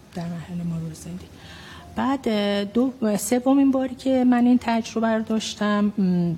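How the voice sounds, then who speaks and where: A woman's somewhat breathy voice, fairly high in pitch with a dark, mellow tone, ordinary pitch variation and a moderate pace. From Iran, Tehran (Yazdi family roots). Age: 50s. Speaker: physician. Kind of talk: testimony.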